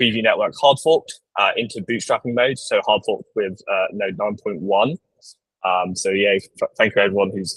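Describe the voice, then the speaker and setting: A man at a fairly quick pace, dry and close-sounding with no echo. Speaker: working group facilitator. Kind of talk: online meeting presentation. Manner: fast; halting, many fillers.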